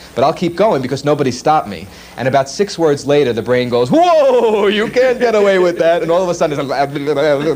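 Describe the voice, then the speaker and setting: Fairly quick speech from a man with an American accent and fairly high pitch, over noticeable background noise. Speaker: world's fastest talking man, commercial voice talent. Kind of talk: casual interview answer. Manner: conversational, with occasional fast delivery.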